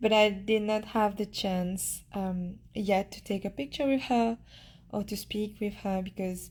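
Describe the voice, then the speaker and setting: A woman speaks at medium pitch with fairly even intonation and a somewhat breathy sound. The recording is very clean, with a silent background. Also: fairly slow pace. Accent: Mauritian. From Mauritius. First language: Mauritian Creole. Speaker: beauty pageant contestant. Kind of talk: casual chat, live stream Q&A. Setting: live Instagram stream from her room. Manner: halting, with hesitations and repeats.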